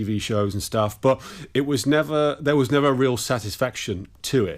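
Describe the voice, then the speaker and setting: A man with an English accent at a moderate pace, in a very clean recording with a silent background. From England. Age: 50s. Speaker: musician and sound mixer. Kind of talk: interview.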